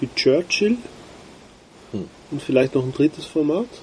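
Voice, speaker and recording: Against noticeable background noise, a man speaks at a fairly slow pace with ordinary pitch variation. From Austria. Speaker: cigar podcast co-host. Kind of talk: casual chat.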